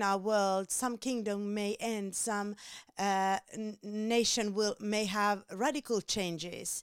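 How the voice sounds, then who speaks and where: Speaking with a Finnish accent at a very slow pace, a woman keeps a medium pitch and fairly even intonation in a very clean, dry, close recording with no echo and a silent background. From Finland. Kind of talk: devotional teaching. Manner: halting, many fillers.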